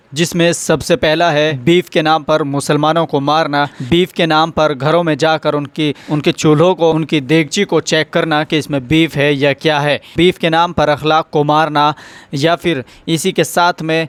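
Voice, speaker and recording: A man's fairly high, monotone voice with flat intonation and very even loudness, dry and close with no echo, on a very clean recording with a silent background. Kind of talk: news-style narration, video presenter voiceover.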